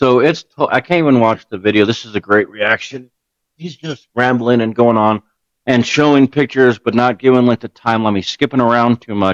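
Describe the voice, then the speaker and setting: A man talks at a fairly quick pace. His medium-pitched voice has a dry, close sound with no echo. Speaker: gaming streamer reacting to video. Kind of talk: reaction commentary. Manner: animated; fast.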